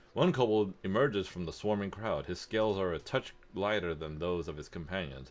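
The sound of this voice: Reading done in an unforced reading voice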